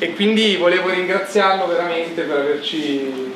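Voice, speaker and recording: With audible room echo and noticeable background noise, a man is speaking. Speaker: event host. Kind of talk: introduction of guest. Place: hall. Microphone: camera far.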